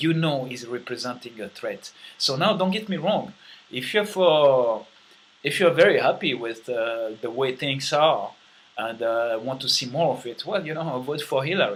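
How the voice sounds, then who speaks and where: A man speaks with a French accent and lively intonation. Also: medium pitch for a man, moderate pace. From France. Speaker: vlogger. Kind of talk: monologue vlog. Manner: many fillers and hesitations.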